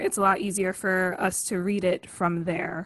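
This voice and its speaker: Her tone is bright and sharp. The woman speaks at a fairly slow pace with fairly even intonation. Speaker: stage manager. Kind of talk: event hosting announcements. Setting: video call.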